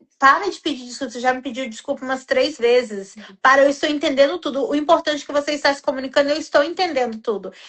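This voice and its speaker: Her pitch is high for a woman, and her intonation stays fairly even. She speaks at a fairly quick pace. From Brazil. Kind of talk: casual chat.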